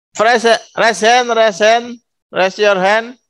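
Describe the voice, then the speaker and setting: Very slowly, a man speaks over a quiet background. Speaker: school principal. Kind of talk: welcome speech. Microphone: video call.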